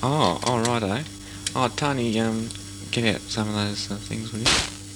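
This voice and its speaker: A man's fairly low voice at a very slow pace, with fairly even intonation and noticeable background noise. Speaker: amateur radio operator. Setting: radio link.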